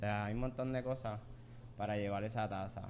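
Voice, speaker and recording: Talking at a very fast pace, a man keeps a fairly low pitch. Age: 20s. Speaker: coffee shop co-owner. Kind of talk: casual interview.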